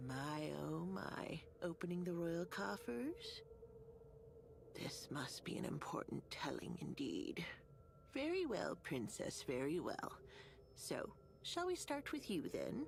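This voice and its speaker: A woman speaks in a put-on character voice at a fairly slow pace, with long, frequent pauses. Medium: video game. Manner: sugary, calls others dearie.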